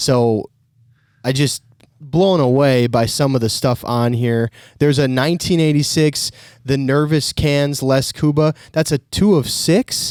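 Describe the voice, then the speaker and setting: A man with an Upper Midwest accent and a fairly high pitch, at a fairly slow pace with ordinary pitch variation and very even loudness, in a very clean, dry, close recording with a silent background and no echo. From Minnesota. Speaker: podcast host. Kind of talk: podcast interview.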